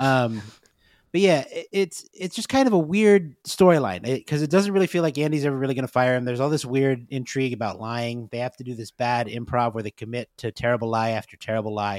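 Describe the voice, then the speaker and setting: A man talks at a very fast pace with lively intonation, in a dry, close sound with no echo. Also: medium pitch for a man. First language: not Spanish. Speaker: podcast co-host. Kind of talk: casual chat.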